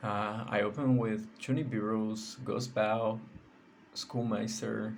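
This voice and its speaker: With a Portuguese accent, a man speaks at a medium pitch in a monotone, flat intonation at a very slow pace, and audible room echo is present. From Brazil. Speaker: card game content creator. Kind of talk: deck profile tutorial. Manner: halting, with many fillers.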